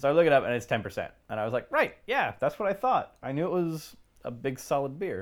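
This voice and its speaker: A man talks at a very fast pace in a fairly high voice, his pitch swinging very widely. The recording is very clean with a silent background. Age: 30s. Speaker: beer podcast co-host. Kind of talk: casual chat.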